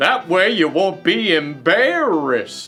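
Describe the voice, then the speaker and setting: With faint music in the background, a man does a put-on character voice at a high pitch and a fairly slow pace. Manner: soft, gentle.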